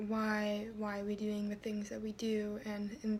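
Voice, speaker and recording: Soft-spoken delivery with noticeable background noise. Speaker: video blogger. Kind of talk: personal vlog. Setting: at home. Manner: soft-spoken, talking quietly; halting, many fillers.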